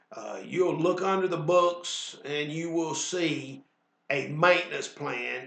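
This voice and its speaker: A man with a Southern US accent talks at a high pitch, and room echo can be heard. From US South. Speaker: weight loss instructor. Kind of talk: sales pitch; instructional class.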